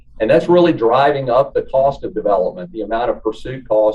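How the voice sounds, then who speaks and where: Talking at a fairly quick pace, a man speaks with a Southern US accent. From US South. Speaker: real estate development executive. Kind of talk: interview. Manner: hesitant, many filler words.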